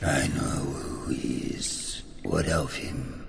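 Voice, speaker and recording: A man's put-on character voice at a very slow pace, against loud background noise. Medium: machinima. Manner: terse, imperious, archaic phrasing.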